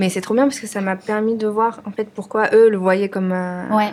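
A woman's unremarkable speaking voice with fairly even intonation at a moderate pace. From France, of Vietnamese parents. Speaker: restaurant owner. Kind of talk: casual interview conversation. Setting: studio, filmed podcast.

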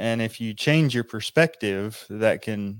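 Using a plain, everyday voice, a man speaks at a fairly slow pace with a fairly low pitch. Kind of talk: casual Bible study discussion. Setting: video call.

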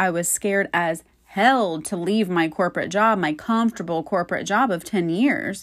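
A woman with an American accent talks in a plain, everyday voice. Her intonation is lively and her pace moderate. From Florida. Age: 30s. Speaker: podcast host. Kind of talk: personal monologue.

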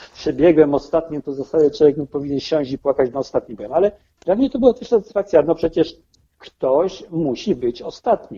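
A man with a fairly high pitch talks at a fairly quick pace, his lively intonation and big swings in loudness carried in an ordinary speaking voice. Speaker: amateur triathlete. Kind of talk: interview.

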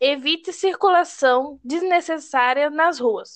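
Very slow speech from a woman, her pitch varying in an ordinary way. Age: 20s. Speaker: logistics student. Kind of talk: reading prepared talk.

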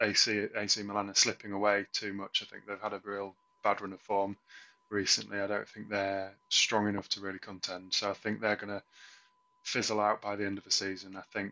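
A fairly low-pitched man with an English accent in a flat monotone at a moderate pace. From England. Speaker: football podcast co-host. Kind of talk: casual chat. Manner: halting.

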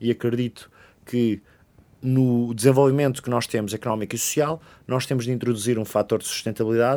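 A man has a normal speaking voice, medium in pitch, at a moderate pace. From Portugal, Oeiras (Lisbon area). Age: 20s. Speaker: politician. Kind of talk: interview.

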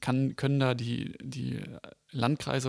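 A medium-pitched male voice, dry and close with no echo. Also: very clean recording, silent background. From Germany, Oranienburg. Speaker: podcast co-host, youth party member. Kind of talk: interview. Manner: halting, many fillers.

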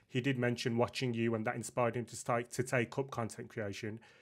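A man's medium-pitched, fairly quick delivery in a plain, everyday voice, on a very clean recording with a silent background. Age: 30s. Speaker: podcast host. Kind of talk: casual interview chat.

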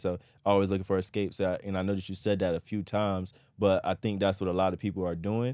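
On a very clean recording with a silent background, a man speaks very fast in a very deep, low pitch with monotone, flat intonation. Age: 20s. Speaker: podcast host. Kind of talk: casual interview.

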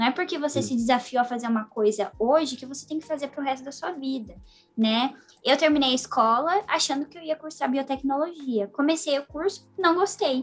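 The pace is fairly quick. Loudness swings widely throughout. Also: woman, high pitch for a woman, ordinary pitch variation. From Brazil. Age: 20s. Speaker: young scientist and psychology student. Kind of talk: casual interview.

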